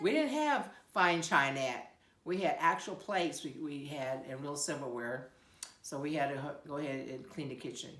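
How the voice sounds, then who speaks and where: A woman with an American accent speaks in a very deep, low voice at a moderate pace, with ordinary pitch variation. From Siletz, Oregon. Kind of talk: interview answer.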